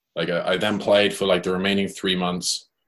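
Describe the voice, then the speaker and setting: The speaker has a northwest English accent. The pace is moderate. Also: man. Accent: British English, northwest England. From Cheshire, England. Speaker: professional gambler. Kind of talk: casual interview.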